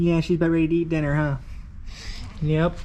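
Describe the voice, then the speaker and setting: A man is speaking. His pace is very fast. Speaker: car enthusiast vlogger. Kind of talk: casual vlog talk to camera. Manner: quiet.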